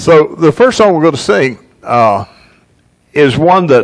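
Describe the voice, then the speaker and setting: A man speaks at a moderate pace, and the background is quiet. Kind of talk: casual announcements to congregation. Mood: light, joking. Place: church.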